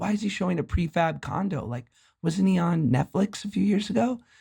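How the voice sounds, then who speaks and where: A put-on character voice, raspy and at a middle pitch, moves at a fairly quick pace. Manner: gossipy.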